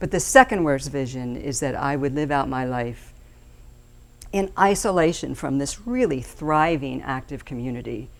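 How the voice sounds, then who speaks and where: In a room with audible echo, a woman with a very deep, low pitch speaks at a moderate pace with ordinary pitch variation. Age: 60s. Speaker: steering committee chairperson. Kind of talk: public speech. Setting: stage with audience.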